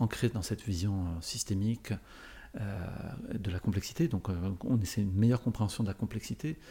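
With a dark, mellow tone and some breathiness, a man speaks at a moderate pace and a fairly low pitch, his pitch varying in an ordinary way and his speech broken by long, frequent pauses. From France, Paris area. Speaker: orchestra conductor and corporate speaker. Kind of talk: interview.

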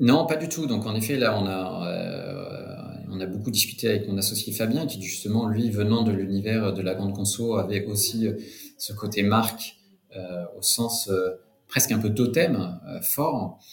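A man speaks fairly low and fairly slowly with ordinary pitch variation against noticeable background noise. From France, Cognac area. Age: 40s. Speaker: wine entrepreneur. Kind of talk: interview. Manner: halting, many repetitions.

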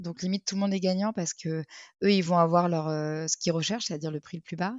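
Fairly quick and fairly even in intonation, a woman with an ordinary speaking voice talks at a fairly low pitch. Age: 30s. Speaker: retail advertising sales manager. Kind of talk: casual interview.

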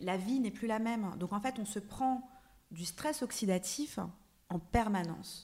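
A woman speaks very slowly in a medium pitch, with a dark, mellow tone and ordinary pitch variation. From France, Paris suburbs. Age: 30s. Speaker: actress and wellness blogger. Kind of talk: casual chat. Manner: halting, many repeated words.

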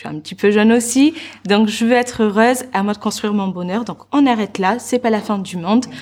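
A woman with an unremarkable speaking voice talks at a fairly quick pace, at a medium pitch with ordinary pitch variation. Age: 20s. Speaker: entrepreneur and personal development coach. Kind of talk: interview.

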